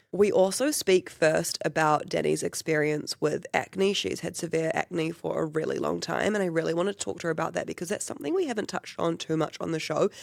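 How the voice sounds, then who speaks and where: Spoken in a New Zealand accent, the speech moves at a fairly quick pace with hardly any pauses. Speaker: podcast host. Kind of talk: podcast intro and interview.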